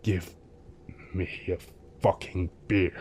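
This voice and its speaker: Guttural, very deep, low put-on character voice from a man, with clear background noise. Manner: gruff.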